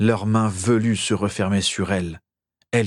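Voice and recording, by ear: Someone reads aloud in a natural voice. The intonation is fairly even, and the background stays quiet.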